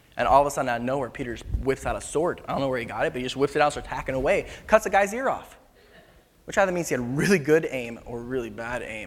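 A man's medium-pitched voice at a very fast pace. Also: lively intonation. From Philippines. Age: 20s. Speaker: youth worship leader preaching. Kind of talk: sermon. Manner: casual, conversational.

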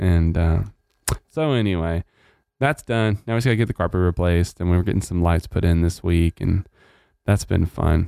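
Dark and mellow in tone, a man's very deep, low voice moves at a moderate pace with ordinary pitch variation, very even loudness and long, frequent pauses. The recording is very clean, with a silent background and a dry, close sound with no echo. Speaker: church pastor and podcast host. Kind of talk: casual chat.

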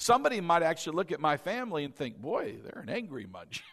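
Loud and with lively intonation, a man speaks. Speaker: pastor. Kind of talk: sermon. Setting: church. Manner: animated.

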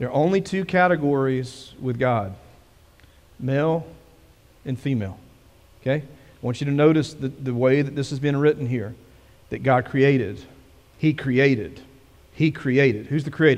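A man speaks at a fairly slow pace in a slightly mellow tone, leaving long, frequent pauses. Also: medium pitch for a man, ordinary pitch variation.

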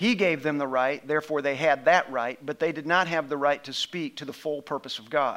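Fairly quick speech from a man in a plain, everyday voice, fairly high in pitch, with ordinary pitch variation. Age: 50s. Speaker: pastor. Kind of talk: sermon.

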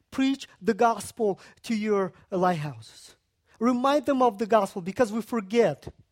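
A man talks at a fairly slow pace in a Central Asian accent, with lively intonation. The sound is dry and close with no echo, and the recording is very clean over a silent background. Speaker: guest preacher. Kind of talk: sermon.

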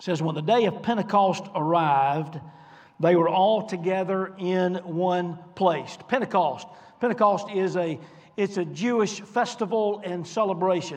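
At a fairly slow pace, a man with a high pitch speaks with ordinary pitch variation amid audible room echo. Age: 50s. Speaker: pastor. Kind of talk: sermon.

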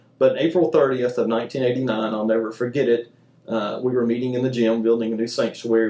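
Here a man speaks in a Southern US accent at a fairly quick pace. His voice sits at medium pitch with a dark, mellow tone. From US South, Mobile, Alabama. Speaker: church youth minister. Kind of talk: testimony; casual chat.

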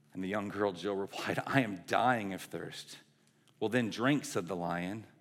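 Pitch varies in an ordinary way as a natural reading voice goes through the text.

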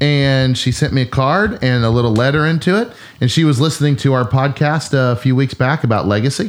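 An unremarkable speaking voice at a fairly quick pace. Its pitch varies in an ordinary way while the loudness stays very even. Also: man, medium pitch for a man. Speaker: pastor. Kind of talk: casual chat.

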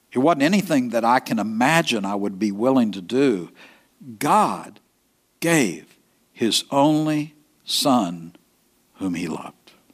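A man speaks very slowly in an East Texas accent, leaving long, frequent pauses. His medium-pitched voice swings very widely in pitch. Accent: East Texas Southern. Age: 70s. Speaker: pastor. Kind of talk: sermon. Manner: halting, with frequent fillers and repetitions.

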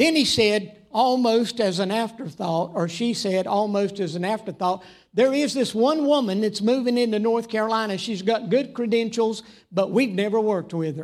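Speaking with a Southern US accent, a man uses a high pitch. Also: ordinary pitch variation, moderate pace. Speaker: preacher. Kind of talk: sermon. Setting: church.

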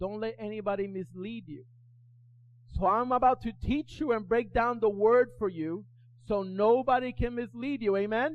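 Shouting loudly, a man uses a high pitch and an animated tone. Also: ordinary pitch variation, moderate pace. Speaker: pastor. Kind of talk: sermon. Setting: church with congregation. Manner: loud, animated, yelling and repeating lines in full flow; urgent, exhorting the congregation with call-and-response.

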